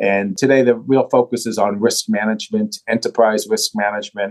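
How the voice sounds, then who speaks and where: The audio is dry and close, free of echo. A man speaks at a middling speed. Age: 60s. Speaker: bank CEO. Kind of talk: interview.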